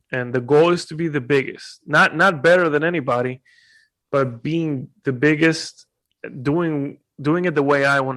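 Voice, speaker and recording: A man speaks with a Spanish accent at a fairly high pitch. His pace is moderate and his intonation fairly even. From Puerto Rico. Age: 20s. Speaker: YouTuber and content creator. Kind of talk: casual interview.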